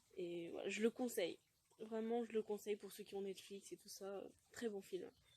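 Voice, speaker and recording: A dark, mellow tone with ordinary pitch variation. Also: woman. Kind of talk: casual talk to camera. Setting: outdoors. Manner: hesitant, some stuttering.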